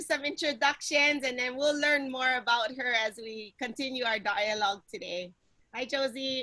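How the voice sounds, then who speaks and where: A woman with a Hawaiian accent speaks in a raised, projected voice at a moderate pace. Her pitch is high, with ordinary variation. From Hawaii, Kauai. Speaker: panel moderator. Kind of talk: panel discussion. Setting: video call.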